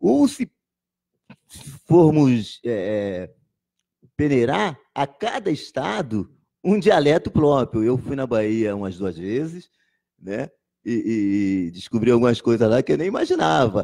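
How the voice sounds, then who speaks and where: Over a quiet background, a man with a dark, mellow tone talks at a very slow pace, his pitch swinging very widely between long, frequent pauses. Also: medium pitch for a man. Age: 60s. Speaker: poet and teacher. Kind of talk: interview. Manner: halting, with frequent repetitions.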